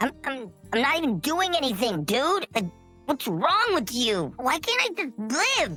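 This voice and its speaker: This put-on character voice is high, with very wide pitch swings, at a moderate pace. Clear music plays in the background. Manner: indignant, whiny.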